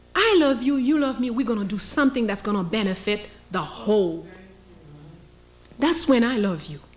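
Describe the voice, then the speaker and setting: Long, frequent pauses and very wide pitch swings come through with audible room echo. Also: woman, fairly high pitch for a woman, moderate pace. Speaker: historian and lecturer. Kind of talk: lecture.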